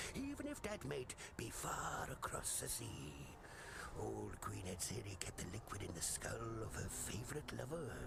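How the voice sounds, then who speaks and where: Over loud background noise, a man whispers in a put-on character voice at a moderate pace. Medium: game stream. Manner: salty, folksy.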